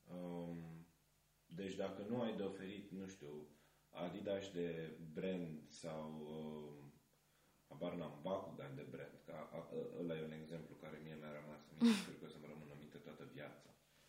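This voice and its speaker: Delivery is fairly slow with fairly even intonation and big swings in loudness. There is noticeable background noise and audible room echo. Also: man, very deep, low pitch for a man. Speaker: film student, festival organizer. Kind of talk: casual chat.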